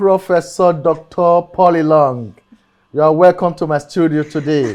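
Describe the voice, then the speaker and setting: Over music in the background, the speaker talks at a moderate pace with ordinary pitch variation. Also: man. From Nigeria, Edo. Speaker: talk show host. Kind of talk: interview talk show. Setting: studio. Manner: animated.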